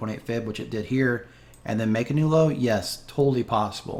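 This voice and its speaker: At a fairly quick pace, a man is speaking. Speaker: crypto trading youtuber. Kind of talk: chart analysis tutorial. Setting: home spare bedroom. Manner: fast; casual, many fillers.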